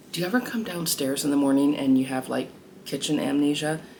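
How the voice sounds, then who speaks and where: A woman's very deep, low voice with lively intonation, over noticeable background noise. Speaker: lifestyle vlogger. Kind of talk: casual vlog narration.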